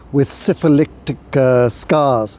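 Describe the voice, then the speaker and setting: Dark, mellow tone from a male voice. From Ireland, later England. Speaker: history tour guide. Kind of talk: walking tour talk. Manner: halting, many fillers.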